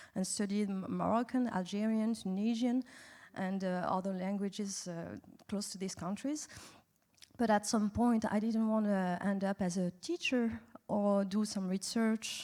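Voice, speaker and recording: A woman speaks in a French accent with a dark, mellow tone. Her pitch is medium and her pace moderate. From France. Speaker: animation industry executive. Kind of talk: festival panel interview. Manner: halting, many fillers.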